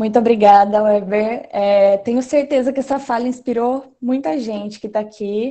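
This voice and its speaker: Over a quiet background, a woman with a dark, mellow tone and a fairly high pitch speaks at a moderate pace in fairly even intonation. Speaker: event moderator. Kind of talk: moderating online seminar. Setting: video call. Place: home room. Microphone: video call.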